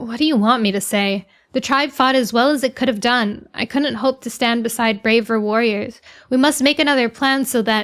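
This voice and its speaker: In a put-on character voice, the speaker growls hoarsely at a moderate pace. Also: woman, high pitch for a woman. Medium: virtual streamer.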